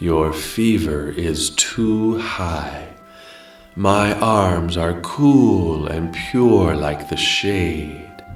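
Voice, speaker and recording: A put-on character voice speaks at a very slow pace with clear music in the background. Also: man, very deep, low pitch for a man. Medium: read story. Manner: calm, soft, solemn.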